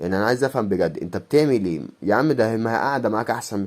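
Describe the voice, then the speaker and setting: On a very clean recording with a silent background, a man with a dark, mellow tone speaks at a fairly quick pace with ordinary pitch variation. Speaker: YouTuber, coin collector. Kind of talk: casual vlog monologue. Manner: fast.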